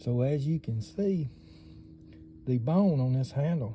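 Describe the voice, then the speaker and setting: A man with a Southern US accent speaks fairly slowly in a dark, mellow tone that is somewhat breathy. His pitch swings very widely. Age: 60s. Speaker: knife collector YouTuber. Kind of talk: casual show-and-tell.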